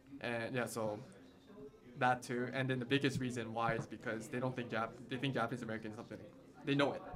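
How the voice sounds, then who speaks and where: A man talks at a very fast pace with a medium pitch and fairly even intonation. Noticeable background noise sits behind him. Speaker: guest. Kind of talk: interview.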